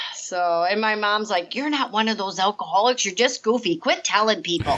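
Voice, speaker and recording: This woman talks at a moderate pace with an American accent. Her pitch is fairly high, and her intonation is lively. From US Midwest, rural northern Illinois. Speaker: recovering alcoholic, recovery coach. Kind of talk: interview testimony. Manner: halting, repetitive.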